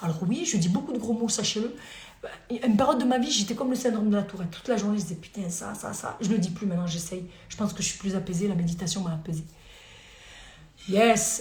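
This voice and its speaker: Talking at a very fast pace with an animated tone, a woman uses ordinary pitch variation and takes long, frequent pauses, with audible room echo and noticeable background noise. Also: medium pitch for a woman. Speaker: lawyer. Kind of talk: live stream Q&A. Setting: live video stream at home.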